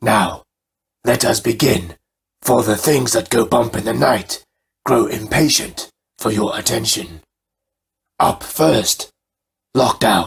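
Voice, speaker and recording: A man puts on a raspy character voice at a medium pitch, talking at a fairly slow pace with long, frequent pauses. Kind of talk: horror host showmanship. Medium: read story. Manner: theatrical, relishing.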